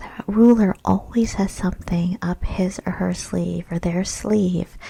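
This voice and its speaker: A soft-spoken woman talks very slowly, her voice at a medium pitch and somewhat breathy. Her tone is dark and mellow. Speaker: small business coach. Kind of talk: ASMR webinar presentation. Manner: soft-spoken, relaxing.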